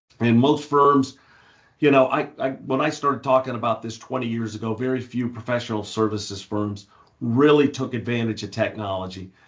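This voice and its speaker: A man's medium-pitched, normal speaking voice with ordinary pitch variation. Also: fairly quick pace. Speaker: industry analyst. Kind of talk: webinar presentation.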